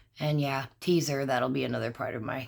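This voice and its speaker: A woman with a very deep, low pitch talks at a fairly quick pace with fairly even intonation. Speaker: crafts channel host. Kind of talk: crafting tutorial. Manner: casual, chatty with fillers.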